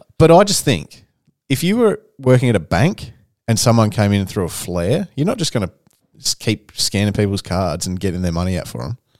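This man talks at a fairly quick pace with a fairly low pitch and lively intonation. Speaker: podcast host. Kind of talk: casual chat.

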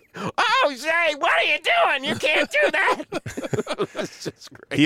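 A put-on character voice with a high pitch speaks at a fairly slow pace. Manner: squealing, whining.

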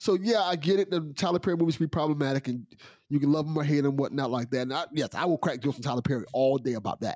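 Speech runs at a very fast pace with ordinary pitch variation. The sound is dry and close, without echo. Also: man, fairly high pitch for a man. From Miami. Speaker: podcast co-host. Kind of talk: casual chat.

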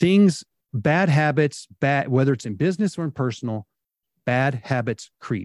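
Heard on a very clean recording with a silent background, a man with a plain, everyday voice speaks at a moderate pace. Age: 50s. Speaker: home improvement business owner. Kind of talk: podcast interview.

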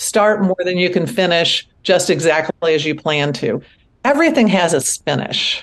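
A woman speaks at a moderate pace in an unremarkable speaking voice, fairly low in pitch. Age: 60s. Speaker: author and artist. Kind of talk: interview.

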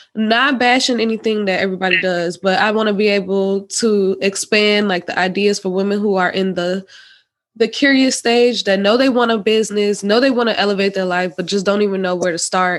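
At a fairly quick pace, a woman speaks in an unremarkable speaking voice with a medium pitch and fairly even intonation. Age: 20s. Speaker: podcast host. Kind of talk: casual interview chat.

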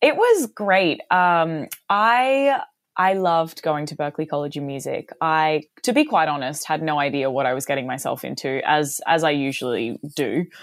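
Very clean recording, silent background. A woman with an Australian accent speaks at a very deep, low pitch with lively intonation. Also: moderate pace. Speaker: singer. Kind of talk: casual interview. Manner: animated.

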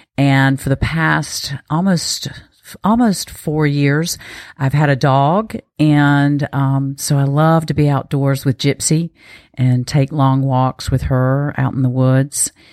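A woman in a North Carolina accent, very deep and low, very slow, fairly even in intonation and very even in loudness, with a dry, close sound and no echo. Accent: Southern US, North Carolina. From eastern North Carolina. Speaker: peak performance coach. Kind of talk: casual interview.

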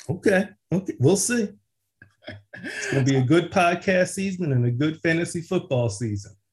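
Using lively intonation and a high pitch, a man with an American accent talks at a moderate pace with long, frequent pauses. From US Northeast, West Philadelphia. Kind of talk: casual chat.

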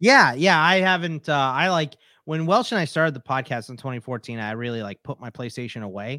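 A man with a normal speaking voice and medium pitch talks at a fairly quick pace with lively intonation and big swings in loudness, in a very clean recording with a silent background and a dry, close sound with no echo. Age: 40s. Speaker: fantasy sports podcaster and author. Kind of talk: casual chat.

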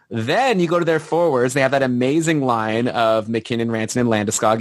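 Medium in pitch, a man's voice moves with ordinary pitch variation. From Canada. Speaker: podcast host, hockey card collector. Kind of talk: casual chat.

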